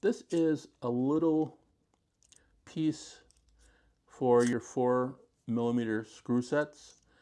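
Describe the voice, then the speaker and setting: A man's medium-pitched voice at a very slow pace, with long, frequent pauses, very even loudness and ordinary pitch variation. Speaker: gear reviewer. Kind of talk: product review. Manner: halting.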